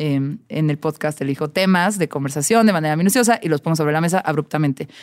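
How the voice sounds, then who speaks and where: Speaking at a fairly quick pace, a woman uses a fairly low pitch with ordinary pitch variation on a very clean recording with a silent background. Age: 30s. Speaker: music journalist and DJ. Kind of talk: casual chat.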